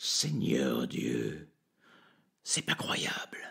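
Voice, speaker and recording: Using a put-on character voice, a man speaks with a raspy, very deep, low pitch. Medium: read story. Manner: theatrical, drawn-out pauses.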